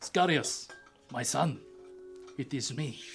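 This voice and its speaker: A man uses a put-on character voice pitched fairly high. Faint music plays in the background. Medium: actual play. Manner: authoritative, paternal.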